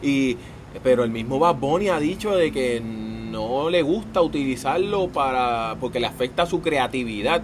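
Noticeable background noise runs behind a man speaking fairly slowly. His pitch is medium and his intonation lively. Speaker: podcast co-host. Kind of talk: casual chat.

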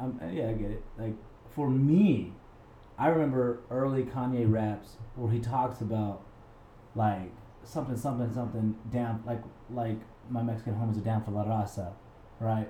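At a moderate pace, a dark, mellow, somewhat breathy voice speaks with fairly even intonation and long, frequent pauses, with audible room echo. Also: man, medium pitch for a man. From New Mexico, Albuquerque. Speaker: radio co-host and stand-up comedian. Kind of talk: casual chat. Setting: art gallery.

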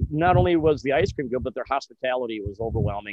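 A man in an American accent, medium pitch, a plain, everyday voice and lively intonation. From US Midwest, Kenosha, Wisconsin. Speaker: real estate agent. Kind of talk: casual interview.

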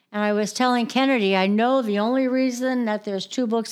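On a very clean recording with a silent background, a woman with an ordinary speaking voice speaks at a fairly quick pace with fairly even intonation. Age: 60s. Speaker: caregiver. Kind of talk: casual chat.

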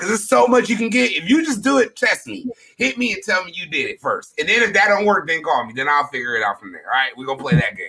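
The voice is raised and projected, racing along at a very fast pace with hardly any pauses. Loudness swings widely, and pitch leaps across a very wide range. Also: man, high pitch for a man. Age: 30s. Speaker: podcast host. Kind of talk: casual chat.

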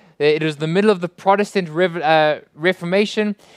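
A man with a South African accent at high pitch, with ordinary pitch variation, on a very clean recording with a silent background and a dry, close sound with no echo. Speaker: pastor. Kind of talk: sermon. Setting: church.

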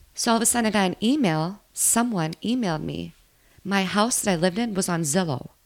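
Speaking at a fairly quick pace, a woman with an Upper Midwest accent uses lively intonation at a medium pitch on a very clean recording with a silent background. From Minnesota. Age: 30s. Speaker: bartender. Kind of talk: casual chat.

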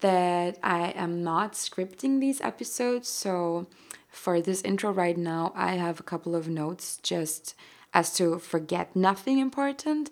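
On a very clean recording with a silent background, a woman with a German accent speaks fairly slowly at medium pitch with lively intonation. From Austria. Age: 20s. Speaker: podcaster. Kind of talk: casual monologue.

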